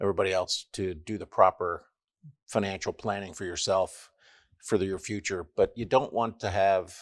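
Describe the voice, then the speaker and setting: Moderate pace and fairly even intonation, with a dry, close sound with no echo and a very clean recording over a silent background. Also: man. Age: 60s. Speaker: sales manager and financial planning client. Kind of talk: casual interview chat.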